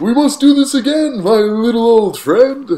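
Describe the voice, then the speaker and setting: Putting on a character voice, a man talks at a moderate pace with an extremely high pitch and a warm tone. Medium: read story. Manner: jolly, warm.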